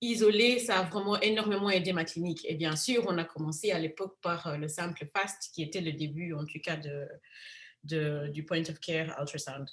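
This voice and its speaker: At a moderate pace, a woman with a fairly low, somewhat breathy voice speaks with ordinary pitch variation. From Africa. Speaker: physician. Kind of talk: lecture.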